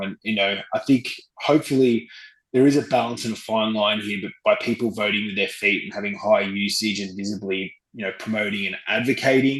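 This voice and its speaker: A man speaks with an Australian accent. His voice is fairly low in pitch, with fairly even intonation. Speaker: travel company executive. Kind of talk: interview. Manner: hesitant, many fillers.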